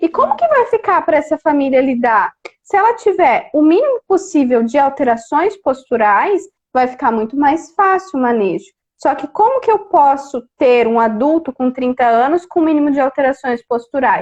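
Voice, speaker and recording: Her pitch high and swinging very widely, a woman delivers her words at a moderate pace. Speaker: speech therapist. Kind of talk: live stream interview. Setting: Instagram live video call. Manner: animated.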